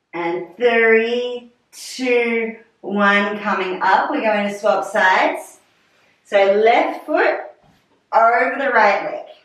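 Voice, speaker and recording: A woman speaks very slowly at a fairly high pitch, with ordinary pitch variation. Audible room echo surrounds her against a quiet background. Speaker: fitness instructor. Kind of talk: guided pilates class. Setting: video call. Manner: calm, soothing; steady, rhythmic cueing with countdowns. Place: home room.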